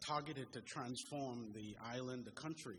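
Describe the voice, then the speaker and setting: This man's voice sits at a medium pitch and sounds somewhat breathy. His intonation is fairly even. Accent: Bahamian. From Bahamas, Grand Bahama. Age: 40s. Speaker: audience member asking questions. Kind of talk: question at public forum.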